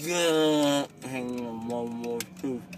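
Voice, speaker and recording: The man's voice, with ordinary pitch variation, sounds dry with no echo while noticeable background noise sits behind it. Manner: drowsy, drugged, woozy speech. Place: car. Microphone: phone near.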